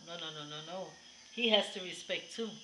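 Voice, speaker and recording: A woman speaks with ordinary pitch variation against noticeable background noise. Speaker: vlogger. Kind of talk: casual vlog chat. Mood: warm, occasionally laughing. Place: home room. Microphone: webcam.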